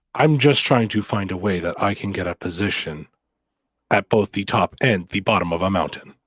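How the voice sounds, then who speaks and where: On a very clean recording with a silent background, a man with a fairly low pitch delivers a put-on character voice in a deadpan tone. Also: moderate pace. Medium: actual play. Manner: formal, measured, deadpan.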